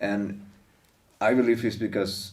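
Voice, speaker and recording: Audible room echo surrounds a man speaking at a very slow pace. He has a Venezuelan accent and fairly even intonation. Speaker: stand-up comedian. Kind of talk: casual interview chat.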